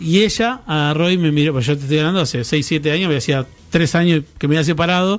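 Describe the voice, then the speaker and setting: Using a plain, everyday voice, a man talks at a fairly quick pace with a fairly high pitch and ordinary pitch variation. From Argentina. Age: 30s. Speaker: radio co-host. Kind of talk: casual chat.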